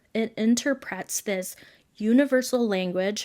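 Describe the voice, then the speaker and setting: In a very clean recording with a silent background, a woman talks with fairly even intonation. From Philippines. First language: Tagalog. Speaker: podcast host. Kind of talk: casual talk, explanatory monologue.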